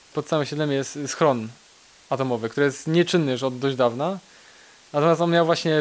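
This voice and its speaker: A man with a fairly high pitch speaks at a very fast pace, keeping his intonation fairly even. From Poland, Kraków (Nowa Huta). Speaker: IT specialist. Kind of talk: interview.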